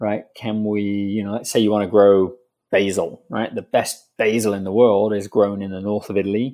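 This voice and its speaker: Speaking with a British accent, a man uses a fairly low pitch and a dark, mellow tone, his intonation monotone and flat at a moderate pace. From UK. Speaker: indoor farming company founder. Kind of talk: interview.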